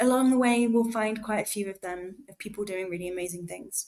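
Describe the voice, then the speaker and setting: A woman's medium-pitched voice in an English accent, at a moderate pace with ordinary pitch variation. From England. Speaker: student, podcast co-host. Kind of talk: casual chat.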